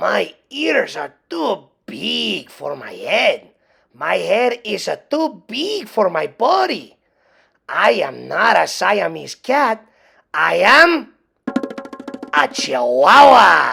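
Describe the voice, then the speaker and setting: This female-sounding voice puts on a character with a Spanish accent and moves at a very slow pace. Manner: playful, comical.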